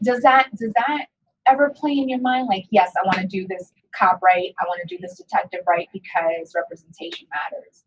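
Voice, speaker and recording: A woman with an American accent speaks at a moderate pace in a somewhat breathy, medium-pitched voice, with lively intonation and big swings in loudness. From New York. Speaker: podcast host. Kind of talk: interview.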